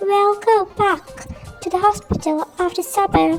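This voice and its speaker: Over clear music in the background, a woman puts on a squeaky character voice at an extremely high pitch, talking at a fairly slow pace. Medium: read story. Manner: calm, reassuring.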